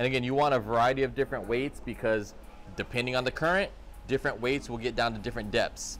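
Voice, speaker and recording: Music plays behind a man as he talks. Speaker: fishing channel host. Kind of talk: tutorial. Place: shop. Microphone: phone near.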